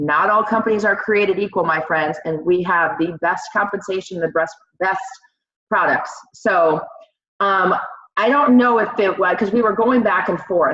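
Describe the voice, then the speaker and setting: A woman with a plain, everyday voice speaks at medium pitch and a moderate pace, with ordinary pitch variation and very even loudness. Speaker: network marketing team leader. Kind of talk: training talk.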